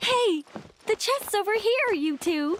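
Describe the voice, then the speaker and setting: Squeaky and playful, this put-on, female-sounding character voice sits at an extremely high pitch and moves at a fairly slow pace. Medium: video game. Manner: breezy, playful.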